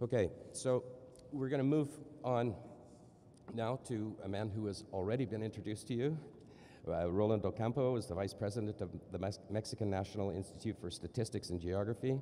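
With light background noise, a man speaks at a fairly quick pace but with long, frequent pauses, his pitch fairly low and varying in an ordinary way and his tone dark and mellow. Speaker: session co-chair and moderator; moderator. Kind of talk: conference panel moderation. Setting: conference room with audience. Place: hall. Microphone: podium.

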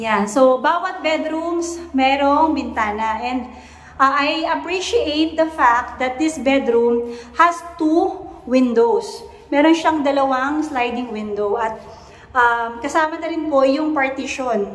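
With audible room echo, a woman talks at a high pitch and a fairly slow pace, taking few pauses and showing ordinary pitch variation.

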